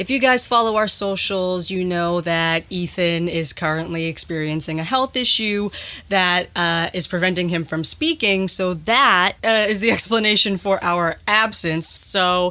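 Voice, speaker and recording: Using a normal speaking voice, a woman talks at a fairly slow pace with hardly any pauses and ordinary pitch variation. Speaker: podcast host. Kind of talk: podcast intro.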